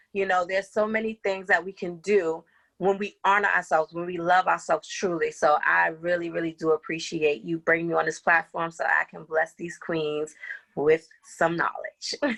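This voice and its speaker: A woman speaks at a moderate pace in a fairly low pitch, with a bright, sharp tone and ordinary pitch variation. The sound is dry and close with no echo over a quiet background. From New York City, the Bronx. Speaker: life coach and behavioral health care coordinator. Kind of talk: podcast interview. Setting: at home.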